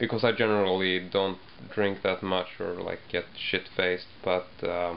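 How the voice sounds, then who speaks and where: At a moderate pace, a man speaks over light background noise. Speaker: video blogger. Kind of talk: casual vlog chat. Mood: relaxed, slightly sheepish. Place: home room. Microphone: webcam.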